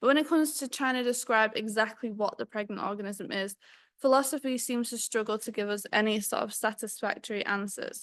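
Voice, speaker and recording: Against a quiet background, a woman talks at a fairly quick pace. Her pitch is fairly high, with ordinary variation. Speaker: PhD researcher presenting talk. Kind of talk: academic talk.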